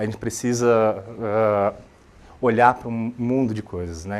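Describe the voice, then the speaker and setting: A man talks in a fairly low pitch with a Brazilian accent. His intonation stays monotone and flat. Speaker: software architect, conference speaker. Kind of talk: tech talk presentation. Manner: halting, many fillers and repetitions.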